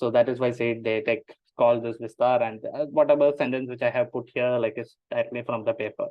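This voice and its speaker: A man speaks with a Keralan accent. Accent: Indian English, Malayali. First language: Malayalam. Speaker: machine learning engineer presenting a paper. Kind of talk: technical presentation. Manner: hesitant, many fillers.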